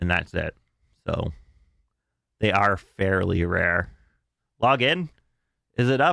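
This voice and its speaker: A man's fairly low voice, bright and sharp in tone, with lively intonation, a very slow pace, long and frequent pauses, and a dry, close sound with no echo. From Canada. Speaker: gaming streamer. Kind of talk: casual live-stream commentary.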